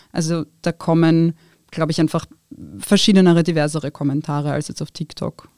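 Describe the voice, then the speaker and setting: A woman's fairly low, dark, mellow voice at a fairly quick pace with fairly even intonation, dry and close with no echo, on a very clean recording with a silent background. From Austria, Wiener Neustadt. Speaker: social media creator and lawyer. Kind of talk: interview.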